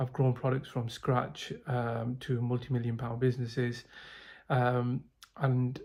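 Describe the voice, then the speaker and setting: A man speaks at a fairly slow pace in a somewhat breathy, medium-pitched voice with monotone, flat intonation. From UK. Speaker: sales professional, program client. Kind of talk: testimonial. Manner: hesitant, many fillers.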